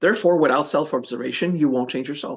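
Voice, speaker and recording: A man with a Quebec accent, against a quiet background. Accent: Québécois French accent in English. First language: French. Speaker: spiritual teacher. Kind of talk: podcast interview. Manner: hesitant, searches for English words.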